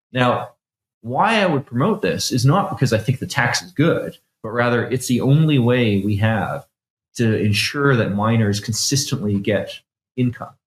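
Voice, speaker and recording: Speaking at a moderate pace, a man has a Canadian accent and a medium pitch. His intonation is lively and his voice somewhat breathy. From Canada. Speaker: bitcoin developer. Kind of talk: technical interview. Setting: studio.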